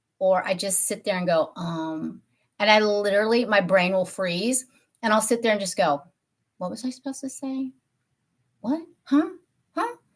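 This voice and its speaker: On a very clean recording with a silent background, a woman with a medium-pitched, somewhat breathy voice speaks at a moderate pace in an animated tone, her intonation lively and her speech broken by long, frequent pauses. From Tennessee. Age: 50s. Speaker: beauty YouTuber. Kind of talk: casual live-stream chat. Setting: live stream from home office.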